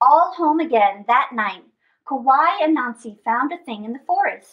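A woman's high pitch, lively intonation and a fairly slow pace

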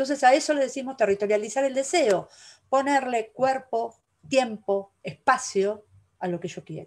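A woman speaks with a high pitch. Her pace is fairly slow. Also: ordinary pitch variation, big swings in loudness, quiet background. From Argentina. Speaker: curator and university lecturer; university lecturer. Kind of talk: lecture. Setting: video call. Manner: animated. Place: home room. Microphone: webcam.

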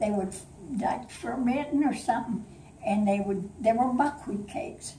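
Room echo is audible, along with light background noise. A woman speaks at a moderate pace and fairly high pitch, with ordinary pitch variation. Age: 80s+. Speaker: grandmother telling a family story. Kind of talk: storytelling to family. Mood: warm, playful. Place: home room. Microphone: camera far.

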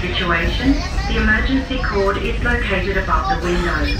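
Over loud background noise and with audible room echo, a woman talks at a moderate pace. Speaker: train safety announcer. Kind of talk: public safety announcement. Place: train.

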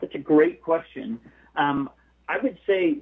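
At a moderate pace, a man with an American accent uses a plain, everyday voice and ordinary pitch variation. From US, Southern California. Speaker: missionary and author. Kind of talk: interview.

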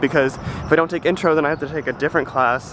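Over noticeable background noise, a man speaks at a fairly quick pace, the sound dry with no echo. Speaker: vlogger, college student. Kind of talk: casual vlog. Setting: walking outdoors. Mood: relieved, chatty. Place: street. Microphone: phone near.

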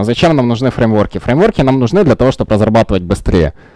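Very wide pitch swings from a man, in a dry sound with no echo over a quiet background. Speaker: software developer. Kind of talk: conference talk. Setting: stage with audience. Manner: halting, many fillers. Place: meeting room.

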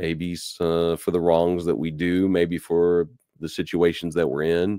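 A man with a Kentucky accent speaks at a very deep, low pitch. The sound is dry and close with no echo, on a very clean recording with a silent background. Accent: Southern American (Kentucky). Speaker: radio Bible teacher. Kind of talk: radio Bible lesson.

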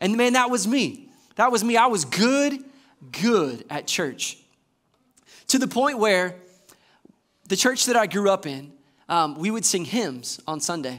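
A man with a Southern US accent, high pitch, very wide pitch swings and an animated tone, fairly slow pace with long, frequent pauses, over a quiet background. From US South, Georgia (Warner Robins). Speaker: assistant pastor. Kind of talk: sermon. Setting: church. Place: church.

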